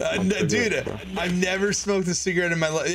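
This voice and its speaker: A man talks while music plays behind him. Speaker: gamer on voice chat. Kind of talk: casual stream chat. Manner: casual. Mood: amused, relaxed.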